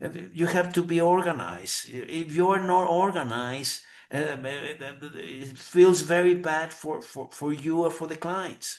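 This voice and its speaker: A man's high voice with ordinary pitch variation and big swings in loudness. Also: fairly slow pace. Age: 60s. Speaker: lawyer. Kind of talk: interview. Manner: halting, many repetitions.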